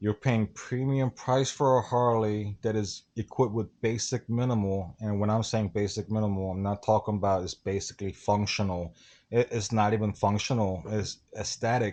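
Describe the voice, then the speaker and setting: With a non-native accent, a man speaks in a fairly low, dark and mellow voice, his intonation fairly even and hardly any pauses in between. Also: moderate pace, very clean recording, silent background. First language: not English. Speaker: motorcycle vlogger. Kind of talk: casual interview.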